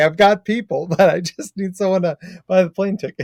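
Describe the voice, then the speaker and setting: This man has an American accent and an animated tone. The sound is dry and close, with no echo. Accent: very American. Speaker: clinical psychologist. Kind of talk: podcast interview.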